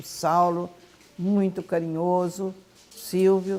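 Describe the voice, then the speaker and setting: This woman has a dark, mellow tone. Her pitch sits fairly low. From Brazil, Goiás. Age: 80s+. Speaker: grandmother sharing memories. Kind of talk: oral history interview.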